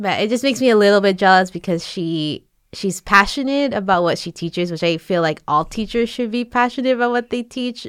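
Recorded very cleanly against a silent background with a dry, close sound and no echo, a woman with a plain, everyday voice speaks at a moderate pace with lively intonation. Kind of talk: casual chat.

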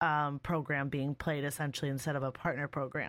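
A woman is heard in a very clean recording with a silent background and a dry, close sound with no echo. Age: 20s. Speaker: streamer and podcast host. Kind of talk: casual interview. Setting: live stream.

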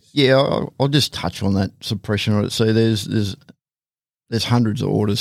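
A man talks at a fairly low pitch. The recording is very clean, with a silent background. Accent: Australian. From Australia, Hawkesbury region of New South Wales. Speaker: police tactical officer. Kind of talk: casual interview. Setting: studio.

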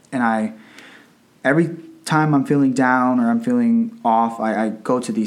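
With an American accent, a normal speaking voice moves at a moderate pace with ordinary pitch variation. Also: man. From Northern Virginia, US. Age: 20s. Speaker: teacher. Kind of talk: casual chat.

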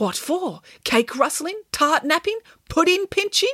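Using a put-on character voice, a woman talks at a fairly slow pace with an extremely high pitch, big pitch swings and a fairly bright tone.

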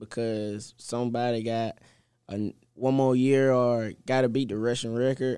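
A man with a Southern US accent speaks at a medium pitch in a dark, mellow tone. His delivery is fairly slow, with monotone, flat intonation. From Mississippi. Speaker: college football player. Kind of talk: interview.

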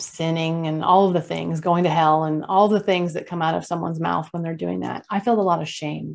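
In an unremarkable speaking voice, a woman with an American accent talks at a moderate pace and fairly low pitch with ordinary pitch variation, against a quiet background. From California. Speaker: consultant and online discussion host. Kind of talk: interview testimony.

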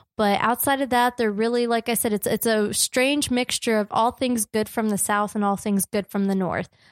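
With an American accent, a woman talks at a moderate pace in an ordinary speaking voice, fairly high in pitch and fairly even in intonation, on a very clean recording with a silent background and a dry, close sound with no echo. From New Jersey. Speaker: podcast co-host. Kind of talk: casual chat.

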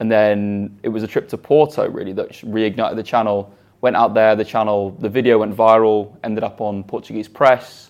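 A man talks at a fairly quick pace. His pitch is fairly low. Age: 20s. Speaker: YouTuber. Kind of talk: interview.

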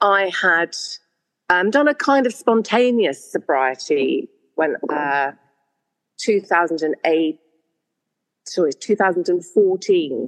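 A woman with a medium pitch speaks at a very slow pace, leaving long, frequent pauses. Her loudness stays very even while her pitch swings very widely. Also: dry, close sound with no echo. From Ireland. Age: 60s. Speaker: guest in recovery sharing her story. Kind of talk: casual chat.

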